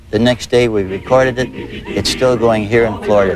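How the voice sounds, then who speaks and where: Over crowd noise in the background, a man speaks at a medium pitch and a moderate pace. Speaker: comedian. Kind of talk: interview answer. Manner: jokey, playful.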